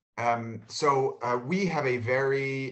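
The speaker has an American accent and ordinary pitch variation. The background is quiet. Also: man. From New York City. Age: 30s. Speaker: spice company co-founder; guest. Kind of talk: panel talk. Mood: relaxed, conversational. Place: home room. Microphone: video call.

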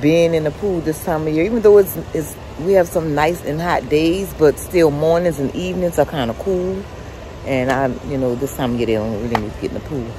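Despite noticeable background noise, a woman with a very deep, low voice speaks at a fairly quick pace in a dry sound with no echo. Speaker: vlogger. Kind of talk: casual vlog chat. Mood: relaxed, chatty. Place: garden. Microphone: phone near.

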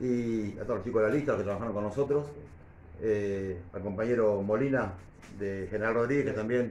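A man talks at a very fast pace with ordinary pitch variation. Room echo is audible, along with light background noise. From Argentina, Buenos Aires province. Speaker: local council candidate; council candidate. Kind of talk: press conference. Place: meeting room. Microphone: camera far.

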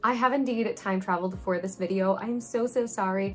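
A woman speaks at a moderate pace against light background noise. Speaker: gaming channel host. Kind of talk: casual vlog chat. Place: home room.

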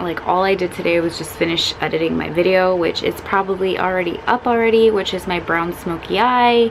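Noticeable background noise underlies a woman's moderately paced speech with fairly even intonation. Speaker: beauty vlogger. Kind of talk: casual vlog chat. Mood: cheerful, giddy. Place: home room. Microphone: phone near.

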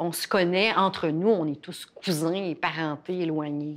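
Very slowly, a woman speaks at a fairly low pitch with fairly even intonation. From Quebec, Innu First Nation. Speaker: professor and former journalist. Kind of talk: interview. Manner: halting, many fillers.

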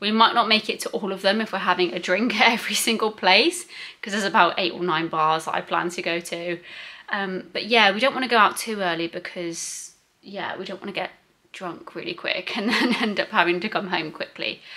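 A woman talks at a fairly quick pace in a bright, sharp tone. Her pitch varies in an ordinary way. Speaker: travel vlogger. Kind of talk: casual vlog chat. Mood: cheerful, chatty. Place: home room. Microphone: phone near.

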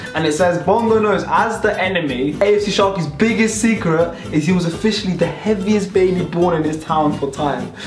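Faint music plays behind a woman who speaks at a moderate pace with hardly any pauses and ordinary pitch variation, in a room with audible echo. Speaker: youtuber host. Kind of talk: casual vlog chat with sponsor read. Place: home room. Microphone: camera far.

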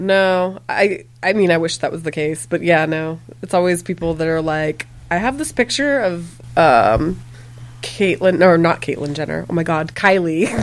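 Speaking at a moderate pace, a woman uses an unremarkable speaking voice, fairly low in pitch, with ordinary pitch variation. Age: 40s. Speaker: makeup and body paint artist; podcast guest. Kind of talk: casual chat. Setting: bar. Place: shop.

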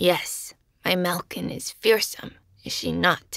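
A woman puts on a raspy character voice. She speaks at a fairly slow pace. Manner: dry, haughty, matter-of-fact.

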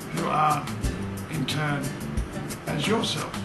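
A man at a very slow pace over loud background music. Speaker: filmmaker narrator. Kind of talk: casual spoken introduction. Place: home room.

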